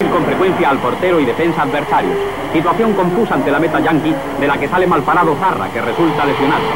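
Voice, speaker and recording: Speech in a Spanish accent comes at a very fast pace. Noticeable background noise runs underneath. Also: man, fairly high pitch for a man, ordinary pitch variation. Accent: Peninsular Spanish. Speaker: radio football commentator. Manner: formal, declamatory period broadcast style.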